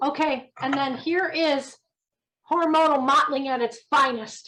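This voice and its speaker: A woman raises and projects her high voice, moving at a fairly slow pace with fairly even intonation. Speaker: thermography trainer. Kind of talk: training session.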